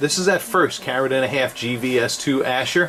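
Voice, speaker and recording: A man at medium pitch and moderate pace, lively intonation, noticeable background noise. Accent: New York. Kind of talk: product review tutorial. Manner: animated, enthusiastic; casual with many fillers.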